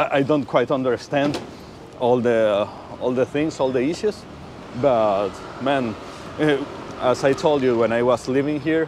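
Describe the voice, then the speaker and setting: Amid noticeable background noise, a man speaks at a fairly slow pace with long, frequent pauses and very even loudness. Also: medium pitch for a man, ordinary pitch variation. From Venezuela. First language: Spanish. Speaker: motorcycle rider and viewer of the channel. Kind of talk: casual chat. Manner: hesitant, with repeated words.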